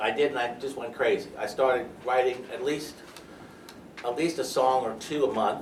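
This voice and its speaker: Over noticeable background noise and audible room echo, a man with an American accent speaks at medium pitch and a moderate pace with fairly even intonation. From New York. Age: 60s. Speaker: lawyer. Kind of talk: interview.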